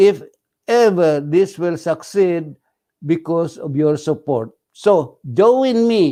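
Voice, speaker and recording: With a Filipino accent, a man speaks at a very slow pace in a high pitch, with a dark, mellow tone and lively intonation, against a quiet background. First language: Tagalog. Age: 80s+. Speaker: radio host. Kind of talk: casual talk show monologue. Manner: halting.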